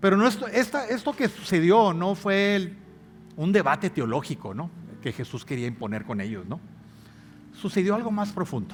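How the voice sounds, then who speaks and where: With music in the background, a man with a high pitch speaks at a moderate pace, making very wide pitch swings and long, frequent pauses. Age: 60s. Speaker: pastor. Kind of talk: sermon. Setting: church.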